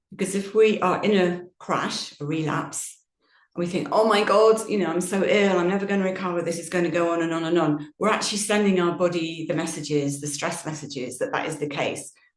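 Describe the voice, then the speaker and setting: Fairly low-pitched and fairly quick, this woman has an unremarkable speaking voice with ordinary pitch variation. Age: 60s. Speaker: yoga teacher. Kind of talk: Q&A session talk.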